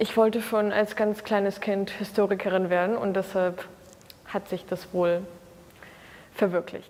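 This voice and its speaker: A woman with a Russian accent at a very slow pace, over noticeable background noise. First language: Russian (speaking German). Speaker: university student. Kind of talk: interview answers. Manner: hesitant, many fillers.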